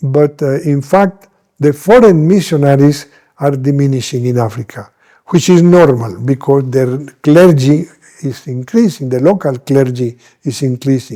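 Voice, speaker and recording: This man speaks with a Spanish accent and a dark, mellow tone. His pitch is fairly high with ordinary variation, at a moderate pace. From Colombia, Medellín. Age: 80s+. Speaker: missionary bishop. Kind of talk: interview. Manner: halting.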